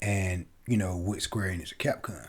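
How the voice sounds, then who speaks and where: A man with a very deep, low voice and a somewhat breathy quality, recorded very cleanly against a silent background. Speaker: gaming podcaster. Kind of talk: casual solo podcast commentary.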